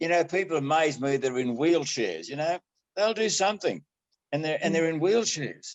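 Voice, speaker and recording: This man has an Australian accent. His intonation is lively. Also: fairly high pitch for a man, moderate pace. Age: 80s+. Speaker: amateur triathlete. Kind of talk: interview answer. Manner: casual, good-humoured.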